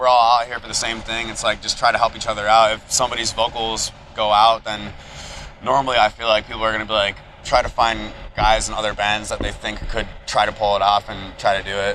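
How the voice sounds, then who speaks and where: A man with a medium pitch talks fairly quickly while noticeable background noise carries on. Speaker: band screamer and keyboardist. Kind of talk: casual interview. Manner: halting, many fillers.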